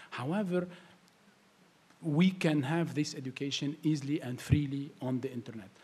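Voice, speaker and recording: In an Arabic accent, a man with a fairly high, somewhat breathy voice and a dark, mellow tone speaks at a moderate pace, with ordinary pitch variation and long, frequent pauses. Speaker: tech entrepreneur. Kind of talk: panel discussion. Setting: stage with audience. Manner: halting.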